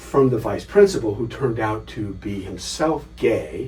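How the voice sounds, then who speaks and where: Music plays in the background as a man with a very deep, low pitch speaks with very wide pitch swings amid audible room echo. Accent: American. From US West Coast, Los Angeles. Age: 60s. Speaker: scholar and author. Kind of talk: interview.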